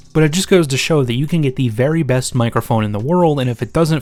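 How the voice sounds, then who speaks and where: A man speaks with ordinary pitch variation. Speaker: tech YouTuber. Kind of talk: tutorial. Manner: casual. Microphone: switching between several studio microphones.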